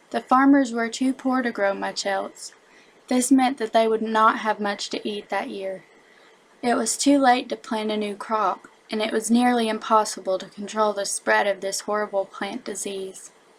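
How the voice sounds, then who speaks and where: A woman with a strong Southern US accent speaks at a moderate pace in a fairly high pitch, her intonation fairly even. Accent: thick Southern American. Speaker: elementary school teacher. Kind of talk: educational narration.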